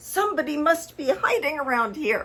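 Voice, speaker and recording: Using a put-on character voice, a woman growls at a high pitch. Her pitch swings very widely, and her pace is moderate. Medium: read story.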